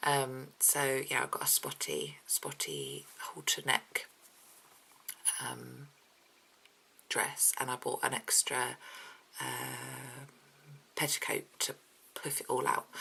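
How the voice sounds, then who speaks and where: Quiet speech unfolds at a very slow pace with long, frequent pauses. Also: woman. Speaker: mummy vlogger. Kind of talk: casual vlog chat. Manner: hesitant, many ums.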